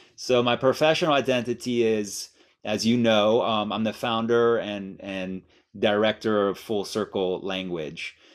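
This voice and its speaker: In a very clean recording with a silent background, a man speaks in an ordinary speaking voice, fairly low in pitch, with ordinary pitch variation. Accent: American. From Miami, US. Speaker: language teaching director and mindfulness teacher. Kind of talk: guided meditation; guest interview. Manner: slow, calm.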